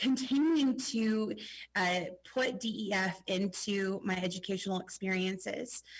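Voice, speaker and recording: Her loudness very even, a woman speaks at medium pitch and a fairly slow pace with ordinary pitch variation. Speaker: school teacher. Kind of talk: testimony. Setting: video call.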